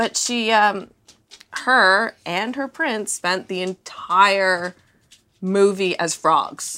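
A woman with a Canadian accent speaks very slowly at a medium pitch. Her tone is bright and sharp, with ordinary pitch variation. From Canada. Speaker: podcast host. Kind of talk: casual chat. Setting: at home on a couch.

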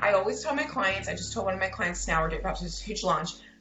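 There is noticeable background noise and audible room echo around a woman speaking. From US, Baltimore, Maryland. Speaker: copywriter. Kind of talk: interview.

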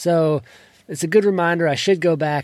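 Pitch variation stays ordinary as the man talks. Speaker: podcast host. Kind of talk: solo tutorial. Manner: trails off at sentence ends; casual with filler words.

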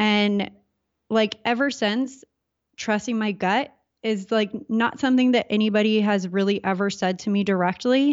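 A woman's medium-pitched voice with a Californian accent. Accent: Californian American. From Southern California. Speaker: entrepreneur. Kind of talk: casual interview.

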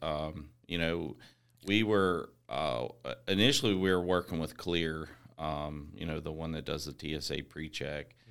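Very deep and low, a man's voice with an American accent shows vocal fry and lively intonation at a fairly slow pace. The recording is very clean, with a silent background. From West Virginia (Eastern Panhandle). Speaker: software company co-founder. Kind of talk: casual interview chat.

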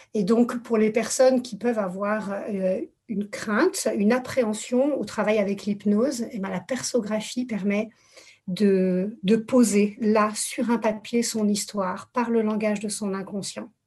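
A woman's fairly high voice at a very slow pace, with fairly even intonation. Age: 40s. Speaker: therapist. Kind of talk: casual chat. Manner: halting.

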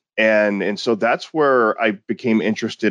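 A man with a plain, everyday voice speaks at a moderate pace and a fairly low pitch, with ordinary pitch variation and a dry, close sound with no echo. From Texas, small town near Houston. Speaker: security company founder and researcher. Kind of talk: interview.

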